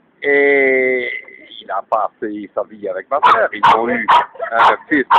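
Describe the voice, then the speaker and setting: The sound is close and dry, free of any echo. A man talks at a very slow pace. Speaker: elderly witness of WWII. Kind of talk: interview. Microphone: poor audio quality.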